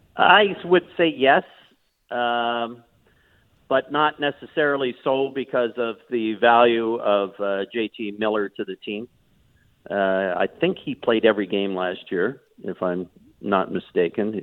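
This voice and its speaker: Speaking fairly slowly at a medium pitch, a man uses lively intonation. He leaves long, frequent pauses. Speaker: hockey analyst. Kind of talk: analytical sports commentary.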